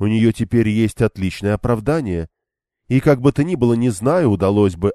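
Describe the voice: Over a quiet background comes plain reading aloud with ordinary pitch variation.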